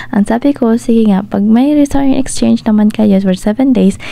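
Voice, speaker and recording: Her fairly high voice carries lively intonation at a fairly quick pace as this woman talks. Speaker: motorcycle travel vlogger. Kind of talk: vlog voiceover narration. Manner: casual, chatty.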